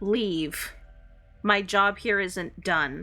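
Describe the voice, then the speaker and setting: Over music in the background, a woman puts on a character voice at a medium pitch. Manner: clear but faint, not whispering.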